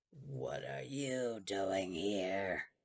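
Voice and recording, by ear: This man puts on a character voice that is raspy and rumbling, fairly low in pitch. His pitch swings very widely.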